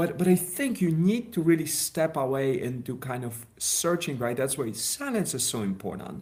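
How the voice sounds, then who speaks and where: A man with a Polish accent, fairly high pitch, very wide pitch swings, a moderate pace and hardly any pauses. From Poland. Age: 40s. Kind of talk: interview. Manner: halting.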